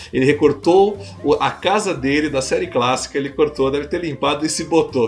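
A man speaks over noticeable background noise. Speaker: podcast host. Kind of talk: casual panel discussion. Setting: live-streamed video recording.

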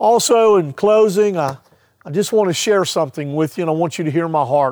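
This man talks in a plain, everyday voice, moving at a moderate pace with lively intonation. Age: 50s. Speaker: pastor. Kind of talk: devotional sermon.

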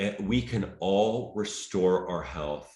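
A man's lively intonation with vocal fry, at a fairly slow pace, in audible room echo. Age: 50s. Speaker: health and mindset coach, former bodybuilder. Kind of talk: casual interview chat.

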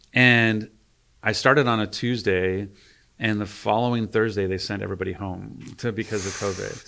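Speaking at a moderate pace, a man with a fairly low pitch and fairly even intonation has an ordinary speaking voice. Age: 50s. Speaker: video game studio executive. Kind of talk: interview. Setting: studio.

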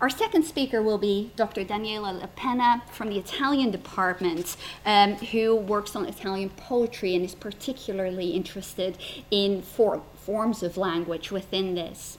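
A woman with a medium pitch talks at a moderate pace with ordinary pitch variation. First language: not English. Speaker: historian and debate chair. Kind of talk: moderating a debate. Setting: stage with audience. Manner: hesitant.

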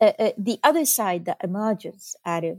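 In an Arabic accent, a woman talks at a moderate pace in a very clean recording with a silent background and a dry, close sound with no echo. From Lebanon, Beirut. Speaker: professor and author. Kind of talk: interview. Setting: studio. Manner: halting with many fillers.

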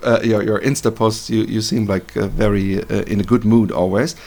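A man's medium-pitched voice with vocal fry and a German accent. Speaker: podcast host. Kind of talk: interview. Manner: halting.

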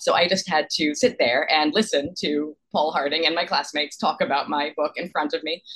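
A woman with a normal speaking voice talks at a fairly quick pace in an American accent. Her pitch is fairly low, with ordinary pitch variation. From New York. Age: 30s. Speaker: novelist. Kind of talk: interview.

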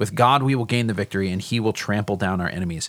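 This is a man speaking. The recording is very clean and dry, close with no echo, and the background is silent. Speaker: teaching pastor. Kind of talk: casual Bible discussion. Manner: halting, with many filler words.

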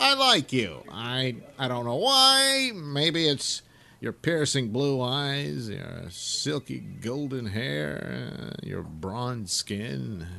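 Using a put-on character voice, a man talks at medium pitch. His delivery is very slow.

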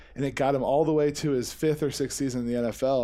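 Here a man with an American accent speaks at a medium pitch in a dark, mellow tone. His intonation is fairly even, and the recording is very clean with a silent background. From Missouri. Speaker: marijuana grower. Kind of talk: casual chat.

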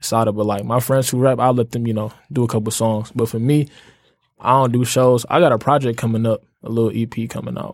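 A man at medium pitch talks at a fairly quick pace with fairly even intonation on a very clean recording with a silent background. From Detroit. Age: 20s. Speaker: college student and clothing entrepreneur. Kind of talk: casual chat.

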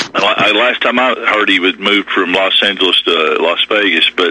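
A man with an American accent talks at a fairly quick pace. Noticeable background noise can be heard. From Kentucky, US. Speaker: caller. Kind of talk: call-in, casual anecdotal chat. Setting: phone call. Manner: casual, rambling, hesitant.

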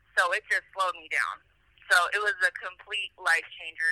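The sound is dry and close with no echo as a woman speaks at medium pitch and a moderate pace in a bright, sharp tone. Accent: American. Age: 20s. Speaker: incarcerated person. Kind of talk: interview.

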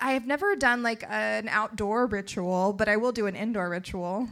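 A woman with an American accent speaks at a fairly high pitch, her tone bright and sharp and her intonation fairly even. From North Carolina. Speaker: comedy writer. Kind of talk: casual chat. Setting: stage with audience.

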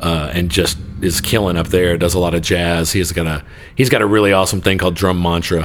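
A man with a very deep, low pitch talks at a fairly quick pace with fairly even intonation. Audible room echo can be heard around his voice. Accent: Texan. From Texas (Joshua / Godley area). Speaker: bass player. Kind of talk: casual chat.

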